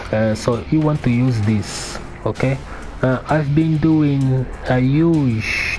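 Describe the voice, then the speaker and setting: A medium-pitched man at a fairly slow pace, with ordinary pitch variation, very even loudness and music in the background. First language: not English. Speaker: fighting game player. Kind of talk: tutorial. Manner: halting.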